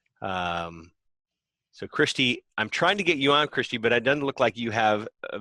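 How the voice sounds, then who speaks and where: A man with an ordinary speaking voice talks at a moderate pace with an American accent, medium pitch and ordinary pitch variation. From United States. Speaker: podcast host. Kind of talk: live Q&A hosting.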